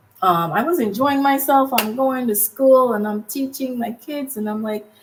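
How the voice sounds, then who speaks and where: Amid noticeable background noise, a woman speaks at a moderate pace in a high pitch with ordinary pitch variation. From Jamaica. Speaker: podcast co-host, former English teacher abroad. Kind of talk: casual chat.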